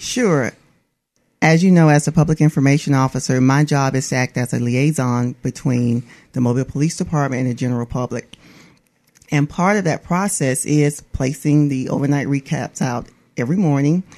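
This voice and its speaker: A woman with an Alabama accent speaks at a moderate pace in a very deep, low voice with a dark, mellow tone and ordinary pitch variation. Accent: US Southern (Alabama). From Atmore, Alabama. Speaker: police public information officer. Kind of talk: radio interview.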